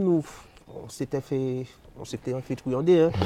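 The sound is dry and close with no echo as a man speaks at a moderate pace. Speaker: sound system selector. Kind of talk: interview.

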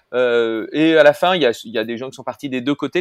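A man's words move fairly quickly, his pitch varying in an ordinary way. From Paris, France. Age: 50s. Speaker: entrepreneur, platform co-founder. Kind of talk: casual interview conversation. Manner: halting, many hesitations.

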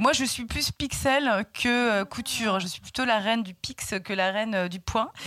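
Hardly pausing yet keeping a fairly slow pace, a woman speaks at a fairly high pitch in a bright, sharp tone with ordinary pitch variation, the sound dry and close with no echo. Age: 40s. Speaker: shop owner and magazine founder. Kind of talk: interview. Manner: hesitant, many fillers and repetitions.

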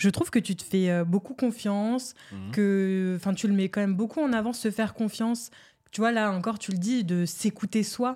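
A woman in a plain, everyday voice talks at a moderate pace with medium pitch and ordinary pitch variation, recorded very cleanly over a silent background. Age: 20s. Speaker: podcast host. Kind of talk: casual chat.

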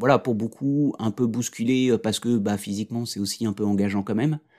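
In a very clean recording with a silent background, a man speaks at a moderate pace and medium pitch with fairly even intonation. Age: 40s. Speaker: consultant and coach, father of a daughter with Down syndrome. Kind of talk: interview testimony. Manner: hesitant, many fillers and repetitions.

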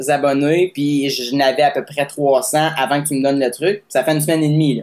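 A man's fairly high voice in a Quebec accent. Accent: Québécois French. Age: 20s. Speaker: singer-songwriter. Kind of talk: casual interview testimony.

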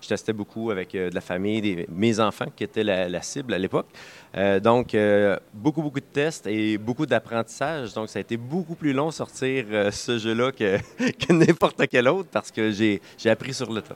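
With a Quebec accent, a man speaks using lively intonation. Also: medium pitch for a man, moderate pace, dry, close sound with no echo. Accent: Québécois French. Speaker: board game publisher. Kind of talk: interview. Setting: game festival. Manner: halting, many repeated words.

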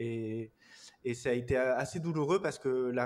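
This man speaks at medium pitch with fairly even intonation. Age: 30s. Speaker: online course entrepreneur. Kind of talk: interview. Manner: hesitant, repetitive fillers.

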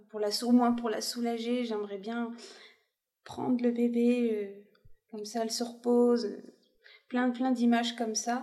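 A woman's dark, mellow voice, monotone and flat, at a fairly slow pace. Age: 30s. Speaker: expectant mother sharing her family story. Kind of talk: personal testimony interview.

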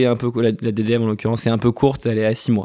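Speaking very fast, a man keeps a monotone, flat intonation. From western France. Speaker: entrepreneur, co-founder of an anti-food-waste startup. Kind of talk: interview. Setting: company offices.

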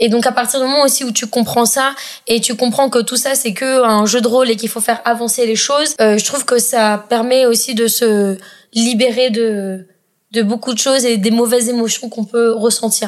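A woman speaks in a monotone, flat intonation at a moderate pace. Her voice sits fairly high. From Madagascar. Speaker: startup co-founder and CEO. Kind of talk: casual chat.

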